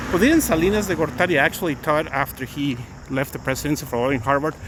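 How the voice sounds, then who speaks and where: A man with a Mexican accent talks very fast with lively intonation. Noticeable background noise runs underneath. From Mexico City, Mexico. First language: Spanish. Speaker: attorney and livestreamer. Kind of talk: casual live-stream chat. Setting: outdoors walking. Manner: halting.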